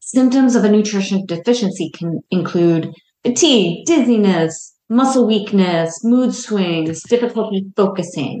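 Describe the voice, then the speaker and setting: Hardly pausing, a woman talks at a fairly slow pace with lively intonation. She has an ordinary speaking voice at a medium pitch. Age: 50s. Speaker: dietitian and podcast host. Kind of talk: solo educational podcast talk.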